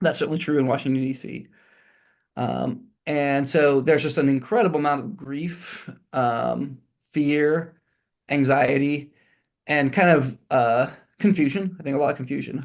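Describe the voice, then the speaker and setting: Against a quiet background, a man with an American accent talks at a fairly high pitch with ordinary pitch variation and long, frequent pauses. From Texas, Houston. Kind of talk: interview. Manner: fast; halting.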